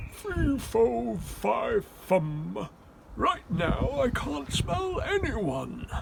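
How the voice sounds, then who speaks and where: Over loud background noise, a man does a put-on character voice that rumbles along at a very slow pace. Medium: read story.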